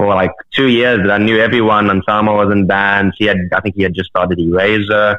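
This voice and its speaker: A man's fairly low, monotone voice with a South African accent, at a fairly quick pace, with very even loudness and hardly any pauses. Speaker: metal musician. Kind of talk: casual chat. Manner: halting.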